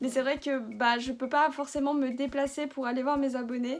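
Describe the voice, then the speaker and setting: Amid noticeable background noise, a woman talks at a moderate pace in a high-pitched voice. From France. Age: 20s. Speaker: YouTuber. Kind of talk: casual Q&A vlog.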